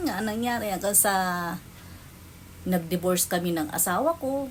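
A somewhat breathy woman's voice with very wide pitch swings. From Philippines. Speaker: vlogger. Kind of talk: personal storytelling.

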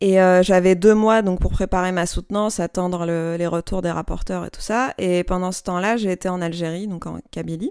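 A woman with an ordinary speaking voice, medium pitch and fairly even intonation, at a moderate pace with hardly any pauses, on a very clean recording with a silent background. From Algeria, Algiers. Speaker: designer and brand founder. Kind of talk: interview. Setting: home workshop.

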